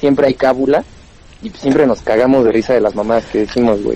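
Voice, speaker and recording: At a fairly quick pace, a man talks in a plain, everyday voice with ordinary pitch variation. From Pachuca, Mexico. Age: 20s. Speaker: stand-up comedian. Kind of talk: casual chat.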